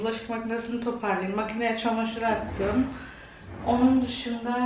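Amid light background noise and audible room echo, a woman speaks at a moderate pace with flat, monotone intonation. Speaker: home vlogger. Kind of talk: casual vlog chat. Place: kitchen. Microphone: phone near.

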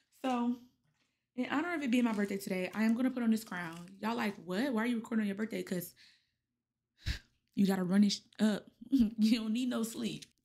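In an animated tone, a woman with a fairly high, somewhat breathy voice talks very fast with ordinary pitch variation, though long, frequent pauses break up her speech. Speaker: podcast host. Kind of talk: casual chat.

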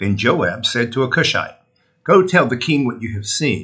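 The man has an American accent. His tone is bright and sharp. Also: quiet background. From North Carolina, US South. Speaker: lay reader or clergy. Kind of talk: morning prayer service, liturgical reading and prayer. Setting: church broadcast, recorded video. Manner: solemn, fervent, devout; measured, reverent cadence. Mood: calm, reverent. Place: home room. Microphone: webcam.

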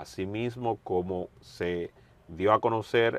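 A man with fairly even intonation, recorded dry with no echo. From Dominican Republic. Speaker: journalist interviewer. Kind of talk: interview. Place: studio. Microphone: lapel.

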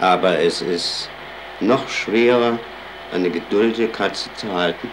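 Background noise is noticeable here. Over it, a man talks. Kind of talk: personal commentary. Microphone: old recording.

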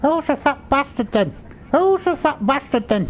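A put-on, female-sounding character voice, high-pitched, at a moderate pace over clear background noise. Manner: squawky.

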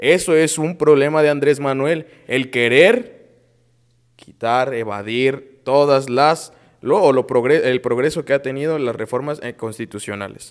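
Against a quiet background, a man speaks at a fairly slow pace. His pitch is fairly high with ordinary variation. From Mexico. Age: young. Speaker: political panelist; panelist. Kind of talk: heated debate; political panel debate. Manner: halting. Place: studio. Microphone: lapel.

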